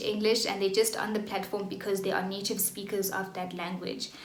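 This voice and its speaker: A woman speaks with a South African accent over noticeable background noise, with audible echo in the room. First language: Xhosa. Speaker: online English tutor. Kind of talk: vlog tutorial. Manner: casual, with fillers.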